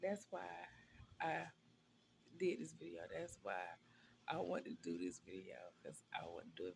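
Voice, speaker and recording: A woman talks at a moderate pace. She leaves long, frequent pauses. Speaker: vlogger. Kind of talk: casual vlog monologue. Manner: soft-spoken; rambling, hesitant with many ums. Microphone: viewers say voice too quiet, needs a microphone.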